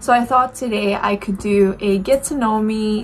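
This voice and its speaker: A woman's fairly high voice at a fairly slow pace, fairly even intonation, noticeable background noise. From Romania, Bacău (northeast). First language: Romanian. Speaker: beauty YouTuber. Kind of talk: casual chat. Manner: hesitant, with fillers.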